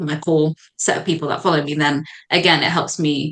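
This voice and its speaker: A British accent marks this woman's very deep, low-pitched voice. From Zambia, raised in the UK. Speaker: medical doctor and content creator. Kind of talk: podcast guest conversation.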